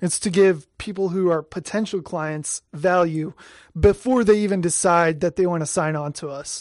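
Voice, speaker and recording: The background is quiet. Speech proceeds at a moderate pace. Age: 20s. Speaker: marketing writer. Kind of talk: casual chat. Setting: studio.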